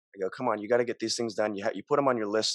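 A man with an American accent, fairly low pitch and monotone, flat intonation at a very fast pace, dry sound with no echo, quiet background. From Montana, US. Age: young. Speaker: podcast guest. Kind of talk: casual interview chat. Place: home room. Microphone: studio mic.

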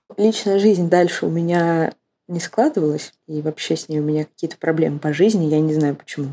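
A woman's fairly low voice, dark and mellow in tone, with fairly even intonation and a dry, close sound with no echo. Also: fairly quick pace. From Russia, Moscow. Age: 20s. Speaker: student. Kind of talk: personal story interview.

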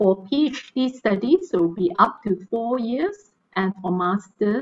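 A woman with a medium pitch talks at a very slow pace. Her intonation is lively. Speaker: battery researcher and guest lecturer; guest lecturer. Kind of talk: online technical lecture. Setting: video call. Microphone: video call.

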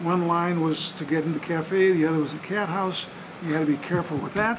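Over noticeable background noise, a man talks at a fairly quick pace with a high pitch and fairly even intonation. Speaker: interviewee. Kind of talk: interview answer. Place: bar.

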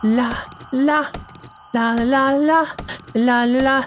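Noticeable background noise fills the recording. Through it, a woman talks. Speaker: gaming youtuber. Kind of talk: let's play commentary. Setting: home recording, brother sleeping nearby.

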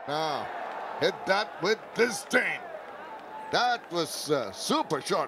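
A man's high-pitched voice at a very slow pace, lively in intonation, with long, frequent pauses and noticeable background noise. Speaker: cricket commentator. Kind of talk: live sports commentary.

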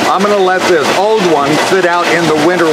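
Loud background noise runs through the clip. The speaker keeps a moderate pace. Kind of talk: casual walkthrough explanation. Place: factory. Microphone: phone near.

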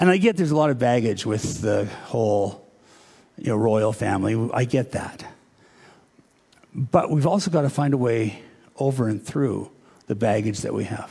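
A man with a dark, mellow, somewhat breathy tone talks at a moderate pace. Long, frequent pauses break up his speech over a quiet background. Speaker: pastor. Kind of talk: sermon. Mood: relaxed, conversational. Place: church. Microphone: headset.

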